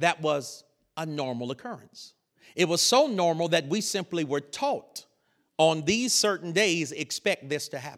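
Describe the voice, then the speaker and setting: A man with a Southern US accent, high-pitched and animated, fairly slow, with lively intonation on a very clean recording with a silent background. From US South, North Carolina. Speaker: preacher. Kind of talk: sermon.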